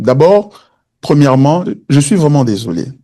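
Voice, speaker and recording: A man with a dark, mellow tone, speaking at a very slow pace with lively intonation. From DR Congo, Kinshasa. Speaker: pastor. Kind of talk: teaching Q&A in church service. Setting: church service streamed online. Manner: hesitant, many fillers.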